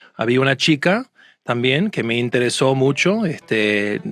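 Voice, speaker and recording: Using a strong Argentine accent, a man speaks at a moderate pace with a fairly high pitch. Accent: Argentine Spanish accent, still fairly strong. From United States. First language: English (speaking Spanish). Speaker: court and conference interpreter. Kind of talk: casual interview chat. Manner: hesitant, many fillers and restarts.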